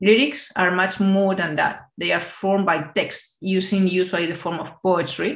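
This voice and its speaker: A woman speaks with a Spanish accent and fairly even intonation, hardly pausing at all. The background is quiet, with audible room echo. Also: moderate pace. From Spain. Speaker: AI and digital innovation expert. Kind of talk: conference keynote. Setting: video call. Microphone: webcam.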